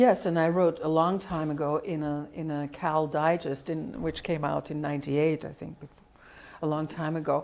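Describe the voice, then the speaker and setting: A woman with a Dutch accent and a fairly low pitch. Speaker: linguistics professor. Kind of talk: interview. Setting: colloquium.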